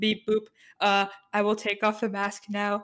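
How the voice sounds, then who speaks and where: This is a put-on character voice, female-sounding and robotic, at medium pitch for a woman. It moves at a fairly slow pace with monotone, flat intonation. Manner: comic.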